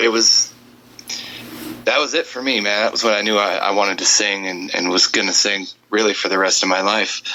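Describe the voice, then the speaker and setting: A man with an American accent speaks at a fairly quick pace with a fairly low pitch. He leaves long, frequent pauses, and background noise is noticeable. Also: ordinary pitch variation. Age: 30s. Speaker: country singer. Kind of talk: interview. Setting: Skype call.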